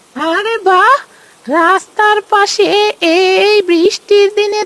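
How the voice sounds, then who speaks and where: Putting on a cartoonish character voice, a woman talks at an extremely high pitch and a very slow pace with fairly even intonation. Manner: muttering to herself.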